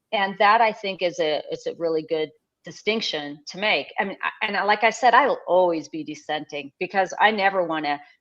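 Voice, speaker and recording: In an unremarkable speaking voice, a woman talks at a fairly quick, medium-pitched clip with lively intonation and big swings in loudness, set against a quiet background. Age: 60s. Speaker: blogger. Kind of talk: casual chat. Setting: live stream.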